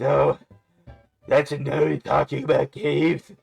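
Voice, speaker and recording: Faint background music under a man's raspy, put-on character voice, fairly high in pitch and at a fairly slow pace. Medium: game stream. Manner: teasing.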